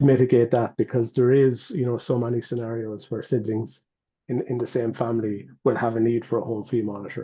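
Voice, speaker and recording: Over a quiet background, a man speaks with a dark, mellow tone. His pace is fairly quick and his intonation monotone and flat. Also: medium pitch for a man. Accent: Irish. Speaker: medical device company representative. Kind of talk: webinar Q&A panel.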